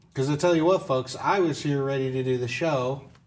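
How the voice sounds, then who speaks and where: Medium pitch from a man, at a fairly slow pace with ordinary pitch variation. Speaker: game review show host. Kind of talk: casual chat. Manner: loud; animated. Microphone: audio issues.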